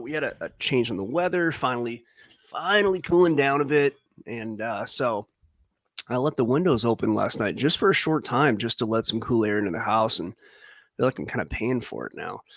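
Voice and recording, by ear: A man's hoarse, raspy put-on character voice at a medium pitch, fairly quick in pace, with big swings in loudness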